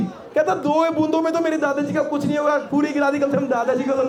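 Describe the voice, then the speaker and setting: An energetic man with an extremely high-pitched voice at a moderate pace, crowd noise behind him. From Delhi, India. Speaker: stand-up comedian. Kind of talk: live stand-up comedy set. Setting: live outdoor college fest stage. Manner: energetic, conversational.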